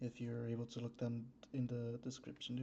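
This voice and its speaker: Soft-spoken, a man at medium pitch has a dark, mellow tone. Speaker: streamer. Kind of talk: casual livestream chat. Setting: home streaming room without soundproofing. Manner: hesitant.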